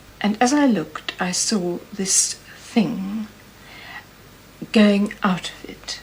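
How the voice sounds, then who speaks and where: Over noticeable background noise, a woman talks at a very slow pace with long, frequent pauses, big swings in loudness and ordinary pitch variation. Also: medium pitch for a woman. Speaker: Celtic archaeology expert. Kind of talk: interview answer. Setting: archive television recording.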